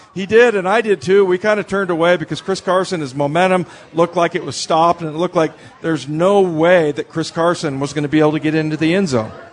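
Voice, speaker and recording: Over noticeable background noise, a man with a high pitch talks at a very fast pace with ordinary pitch variation. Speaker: radio host. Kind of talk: live sports radio show. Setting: live show at a restaurant bar. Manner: conversational.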